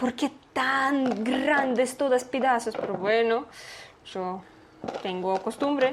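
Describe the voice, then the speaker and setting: Over noticeable background noise, a woman with a Russian accent speaks at a very slow pace in a high pitch with ordinary pitch variation. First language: Russian (speaking Spanish). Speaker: YouTuber. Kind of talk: casual chat.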